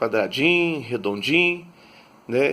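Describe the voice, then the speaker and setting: Lively intonation and a bright, sharp tone come through on a very clean recording with a silent background. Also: man. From Brazil, Minas Gerais interior (Patos de Minas). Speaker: pastor. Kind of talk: sermon-style talk on faith. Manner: many filler words, conversational.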